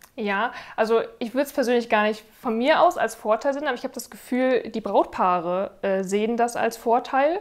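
In a very clean recording with a silent background, a woman with an ordinary speaking voice and fairly high pitch talks at a moderate pace with ordinary pitch variation and hardly any pauses. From northern Germany, Rostock. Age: 30s. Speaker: wedding videographer. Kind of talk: testimonial interview.

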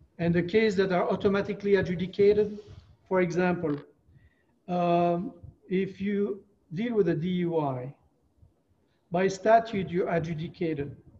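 A man with a French accent and a dark, mellow tone speaks at a high pitch and a moderate pace, with long, frequent pauses. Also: ordinary pitch variation. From France. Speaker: retired attorney. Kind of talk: interview. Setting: video call.

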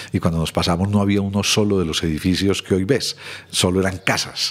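Fairly quick speech from a man, very deep and low in pitch, the intonation fairly even. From Colombia, Medellín. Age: 60s. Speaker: social consultant. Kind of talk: interview conversation.

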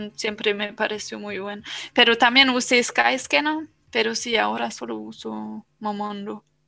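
Loudness swings widely throughout this fairly slow speech. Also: woman. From Germany. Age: 20s. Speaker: podcast guest, traveler. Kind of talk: casual chat. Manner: halting.

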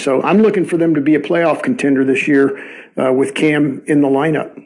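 This man talks at a fairly quick pace with a fairly high pitch. Noticeable background noise runs under his voice. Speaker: football YouTuber and podcaster. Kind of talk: recorded voice message.

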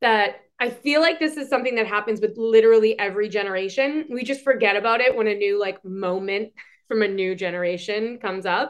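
In a Boston accent, a woman talks at a fairly quick pace with an animated tone and ordinary pitch variation. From Boston, Massachusetts. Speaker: podcast co-host, hospitality industry. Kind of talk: casual chat.

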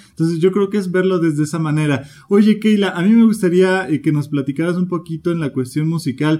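A man with a high voice and a dark, mellow tone, talking at a fairly quick pace with ordinary pitch variation and hardly any pauses. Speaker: podcast host. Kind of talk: interview.

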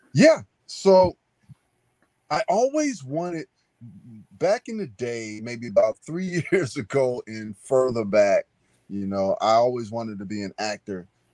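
A man's dark, mellow voice at a fairly slow pace, with long, frequent pauses, big swings in loudness and very wide pitch swings, in a dry, close sound with no echo. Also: medium pitch for a man. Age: 50s. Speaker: novelist. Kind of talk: interview.

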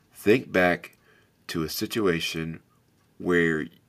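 A man speaks with a very deep, low pitch. His pace is very slow, with ordinary pitch variation. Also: very clean recording, silent background. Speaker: podcast host. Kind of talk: solo podcast monologue. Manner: loud, animated; motivational, earnest.

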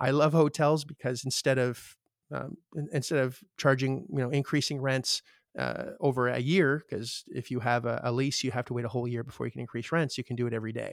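A man with a Canadian accent and a plain, everyday voice speaks fairly quickly at medium pitch with fairly even intonation, dry and close with no echo on a very clean recording with a silent background. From Canada. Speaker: real estate investor. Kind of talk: interview.

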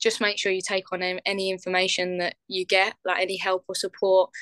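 A woman with an English accent speaks at a moderate pace and a medium pitch, her bright, sharp tone monotone and flat. The sound is dry and close with no echo, over a quiet background. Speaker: professional footballer. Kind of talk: interview.

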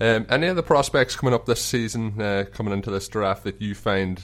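A man with an Irish accent, fairly low in pitch, at a very fast pace with ordinary pitch variation. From Ireland. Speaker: podcast host. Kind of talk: casual interview chat. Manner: friendly, conversational.

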